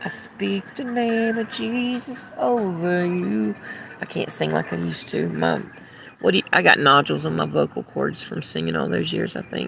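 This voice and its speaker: With noticeable background noise behind her, a woman talks at a fairly slow pace in a Southern US accent. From US South. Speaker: livestreamer. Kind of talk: casual chat. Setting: outdoors.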